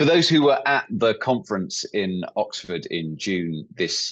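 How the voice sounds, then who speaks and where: Very wide pitch swings mark this man's speech, delivered with an English accent. The background is quiet. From England. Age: 40s. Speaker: workshop leader, company employee. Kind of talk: online workshop presentation.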